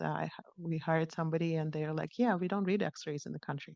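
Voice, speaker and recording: A woman with a non-native accent speaks at a fairly low pitch with fairly even intonation, the sound dry and close with no echo against a quiet background. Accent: foreign. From outside the US. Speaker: radiologist giving invited talk. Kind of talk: conference lecture. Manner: hesitant, many fillers and restarts.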